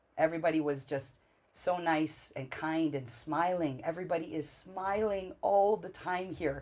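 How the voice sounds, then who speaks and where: This woman has an unremarkable speaking voice at a fairly low pitch. She keeps a moderate pace with ordinary pitch variation. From Canada. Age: 40s. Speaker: traveler. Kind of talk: interview.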